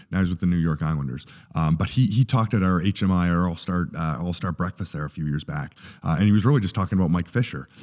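A very deep, low man's voice at a very fast pace. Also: ordinary pitch variation, very clean recording, silent background. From Canada. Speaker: sports chaplain. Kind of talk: casual interview. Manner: halting.

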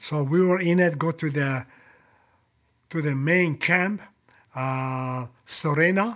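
With long, frequent pauses, a man speaks at a very slow pace. His voice is fairly high, with ordinary pitch variation. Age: 70s. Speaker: retired special forces soldier. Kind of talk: casual interview. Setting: in-person studio. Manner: blunt and frank.

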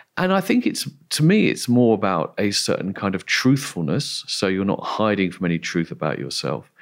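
A man with an English accent, at a moderate pace. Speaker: philosopher. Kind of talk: interview. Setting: remote call.

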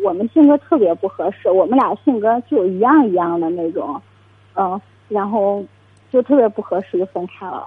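Her intonation rises and falls in a lively way. This woman keeps a moderate pace. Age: 20s. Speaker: caller seeking dating advice. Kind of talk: call-in advice conversation. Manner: halting.

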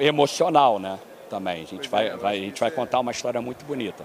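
A man's lively intonation carries through noticeable background noise. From Brazil, Rio de Janeiro. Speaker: endurance athlete. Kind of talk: interview. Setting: conference venue.

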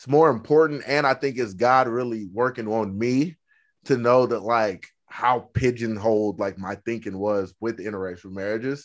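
Speaking with an American accent, a man uses a medium pitch and ordinary pitch variation at a moderate pace. The recording is very clean, with a silent background. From Oklahoma. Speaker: podcast host. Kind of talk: casual interview.

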